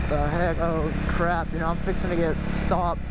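Over heavy background noise, the sound itself is dry, without any echo. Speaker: rider vlogger. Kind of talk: casual vlog chat. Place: motorbike. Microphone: helmet.

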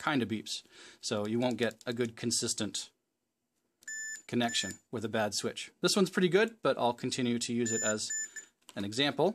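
At a moderate pace, a man speaks with ordinary pitch variation and long, frequent pauses over light background noise. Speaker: hobbyist repair host. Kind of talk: tutorial. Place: workshop.

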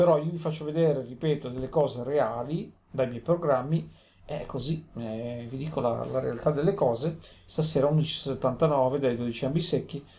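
The man sounds somewhat breathy. His pitch moves in a normal way. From Italy, Genoa (Liguria). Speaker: lotto vlogger. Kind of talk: casual vlog monologue. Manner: rambling, repetitive.

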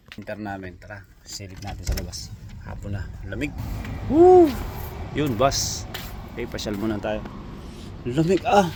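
A man speaks at a fairly slow pace, leaving long, frequent pauses and making big swings in loudness. Audible room echo and noticeable background noise fill the recording. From Visayas, Philippines. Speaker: vlogger and factory worker. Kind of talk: casual vlog, answering comments. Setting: outdoors in winter cold. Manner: animated.

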